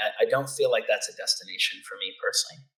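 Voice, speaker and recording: At a very fast pace, a man speaks. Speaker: functional neurologist. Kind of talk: interview. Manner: fluent, wordy.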